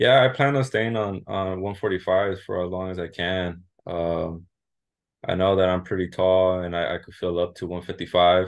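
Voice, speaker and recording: In a Californian accent, a man with a very deep, low pitch speaks at a moderate pace with ordinary pitch variation. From southern California, Santa Ana, Mexican heritage. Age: 20s. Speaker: MMA fighter. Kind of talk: interview. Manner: halting, many repeats and fillers.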